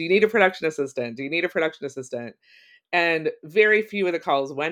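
An unremarkable speaking voice from a woman with an American accent, fairly low-pitched, with lively intonation over a quiet background. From Ohio, US Midwest. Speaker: writer and creativity course facilitator. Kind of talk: interview, casual chat.

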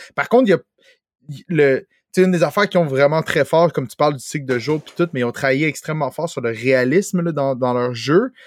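A man with a Quebec accent at a fairly high pitch and fairly quick pace, ordinary pitch variation and big swings in loudness, in a very clean recording with a silent background and a dry, close sound with no echo. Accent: Québécois French. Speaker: video game podcast host. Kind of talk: casual chat.

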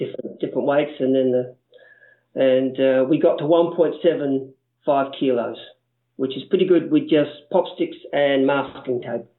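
With an Australian accent, a man with a fairly high voice speaks at a fairly slow pace and fairly even intonation. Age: 50s. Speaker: primary school STEM teacher. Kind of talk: interview.

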